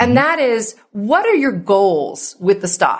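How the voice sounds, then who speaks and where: A woman speaks at a fairly high pitch. Her voice makes very wide pitch swings. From New Jersey. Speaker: wealth advisor and tax expert. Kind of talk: podcast interview.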